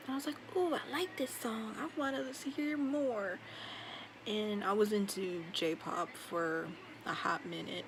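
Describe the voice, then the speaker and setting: A quiet woman's voice at medium pitch and a fairly slow pace, with very wide pitch swings and noticeable background noise. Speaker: vlogger. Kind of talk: casual monologue vlog. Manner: quiet, low volume; dull, low energy.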